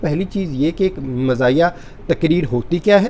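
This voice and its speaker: A high-pitched man speaks with lively intonation. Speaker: declamation speaker. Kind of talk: instructional talk to camera.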